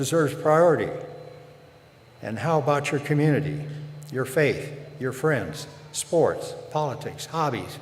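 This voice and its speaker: Fairly even intonation runs at a fairly slow pace with long, frequent pauses, amid noticeable background noise and audible room echo. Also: man, fairly high pitch for a man. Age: 90s. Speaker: commencement speaker, former university president. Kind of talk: commencement address.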